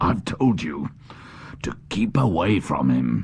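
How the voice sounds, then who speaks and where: A man's put-on character voice, growling and very deep in pitch, with very wide pitch swings, a fairly slow pace and light background noise. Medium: audio drama.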